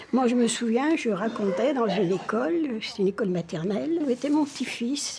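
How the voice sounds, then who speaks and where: Over noticeable background noise, a woman with a fairly high pitch speaks at a moderate pace, her intonation lively and her delivery with hardly any pauses. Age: 80s+. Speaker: storyteller. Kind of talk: interview testimony.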